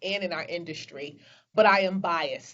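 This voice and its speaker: This woman speaks at a moderate pace with a medium pitch. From Brooklyn, New York. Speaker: business executive. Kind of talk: interview. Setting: video call.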